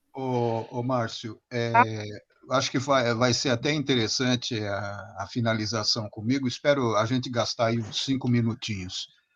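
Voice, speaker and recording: The man's voice is medium in pitch, with fairly even intonation and a fairly slow pace. The background is quiet. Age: 60s. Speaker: older participant asking questions. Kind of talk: casual chat. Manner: halting, repeating words.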